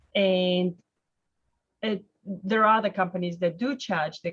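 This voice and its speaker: A woman of medium pitch speaks with a non-native accent at a fairly slow pace, her voice somewhat breathy. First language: not English. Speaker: mortgage broker hosting a webinar. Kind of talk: casual interview chat. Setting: webinar video call.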